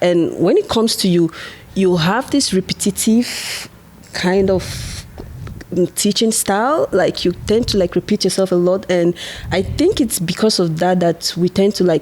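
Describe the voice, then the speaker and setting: Speaking in a Nigerian accent, a woman talks at a fairly slow pace. Her pitch is medium and varies in an ordinary way. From Nigeria, Igbo from the east. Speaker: international student and podcaster. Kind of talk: casual chat.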